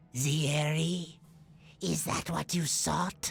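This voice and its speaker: A put-on character voice at a middle pitch. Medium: video game. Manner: deferential.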